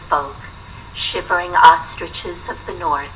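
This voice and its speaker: Noticeable noise can be heard in the background. A woman is talking over it. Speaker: poet reading her own poetry collection. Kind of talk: poetry reading.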